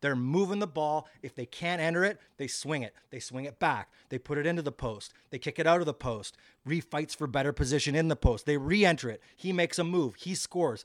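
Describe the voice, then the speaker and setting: A man speaks fairly quickly at a fairly high pitch with ordinary pitch variation. The recording is very clean and dry, with no echo and a silent background. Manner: animated, quick-paced and enthusiastic, laughing, with play-by-play rhythm.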